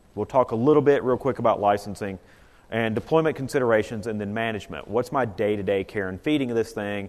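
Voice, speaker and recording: With a Southern US accent, a man speaks at a very fast pace with a medium pitch and ordinary pitch variation. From US South, North Carolina. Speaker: IT consultant presenter. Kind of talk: conference presentation. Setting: conference room with audience. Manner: casual, conversational.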